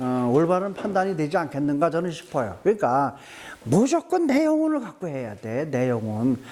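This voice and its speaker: This man's voice sits high in pitch, and he talks at a moderate pace. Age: 70s. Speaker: lecturer on spiritual health. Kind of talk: lecture. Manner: repetitive, emphatic.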